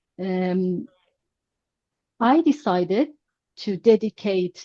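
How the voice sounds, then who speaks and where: A woman speaks very slowly in a Persian accent, her intonation lively and her tone dark and mellow. The voice is somewhat breathy, with a dry, close sound and no echo. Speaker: language teacher. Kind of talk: online class lecture. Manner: halting, many fillers.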